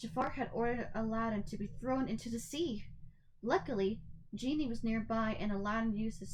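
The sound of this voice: The recording features an unforced reading voice.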